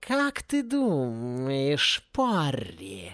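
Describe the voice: In a very clean recording with a silent background, a man puts on a character voice at a medium pitch and a very slow pace. His tone is fairly bright, with very wide pitch swings.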